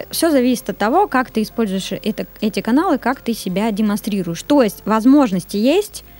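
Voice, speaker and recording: With a normal speaking voice and a fairly high pitch, a woman talks at a moderate pace with lively intonation and hardly any pauses. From Kyrgyzstan, then Surgut, Russia. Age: 20s. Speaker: SMM agency director. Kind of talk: interview.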